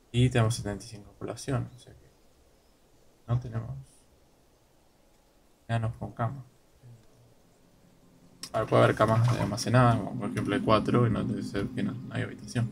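With an Argentine accent and vocal fry, a man speaks with ordinary pitch variation, big swings in loudness, and long, frequent pauses. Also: medium pitch for a man, fairly quick pace. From Argentina. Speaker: gaming streamer. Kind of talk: casual gameplay commentary. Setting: poor microphone audio.

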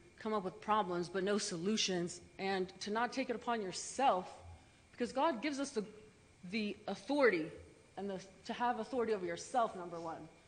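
A woman's voice with audible room echo. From Kosovo. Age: 30s. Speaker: public commenter. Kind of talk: public comment at city council. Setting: council chamber. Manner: impassioned.

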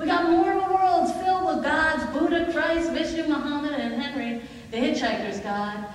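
The speech moves at a moderate pace with lively intonation. Strong room echo surrounds it. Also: woman. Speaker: spoken word poet and one-woman-show performer. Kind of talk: spoken word poetry performance. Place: stage. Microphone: camera far.

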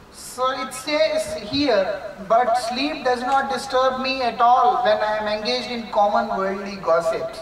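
Against light background noise and audible room echo, a man with an Indian accent speaks very slowly at an extremely high pitch with ordinary pitch variation. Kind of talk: spiritual lecture. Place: home room. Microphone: camera far.

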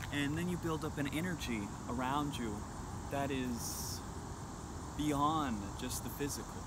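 Loud background noise surrounds a man speaking at a fairly slow pace, the sound dry with no echo. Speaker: spiritual fitness vlogger. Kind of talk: casual vlog chat. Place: open country. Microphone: phone near.

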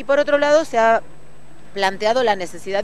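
The speech moves at a fairly quick pace, with light background noise and a dry sound lacking echo. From Argentina. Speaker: teachers' union leader. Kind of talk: news interview statement. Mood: firm, assertive. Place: street.

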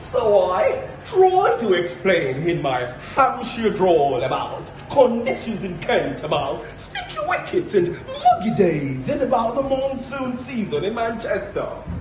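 A man speaks at an extremely high pitch with very wide pitch swings, at a very slow pace with hardly any pauses. Noticeable background noise sits behind him. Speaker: poetry reciter. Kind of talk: poetry reading. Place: stage. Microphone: camera far.

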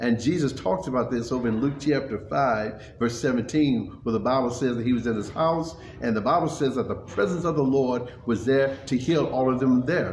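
Amid light background noise and audible room echo, a man talks at a moderate pace with ordinary pitch variation. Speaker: pastor. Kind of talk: sermon recap, casual preaching. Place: hall.

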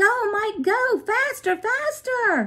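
A woman shouts in a put-on character voice pitched extremely high. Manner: shouting.

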